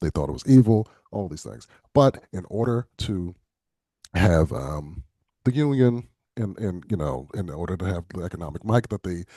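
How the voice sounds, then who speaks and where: With an American accent and a very deep, low pitch, a man speaks at a moderate pace in a dark, mellow tone, his pitch swinging very widely and his loudness shifting a lot, in a dry, close sound with no echo. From Philadelphia, US. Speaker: political candidate. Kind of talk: virtual town hall. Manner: halting, many fillers and repetitions.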